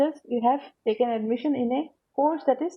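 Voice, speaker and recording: Her pitch is high as a woman speaks at a fairly quick pace. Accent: Assamese. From Assam, India. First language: Assamese. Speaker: teacher. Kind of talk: lecture. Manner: halting.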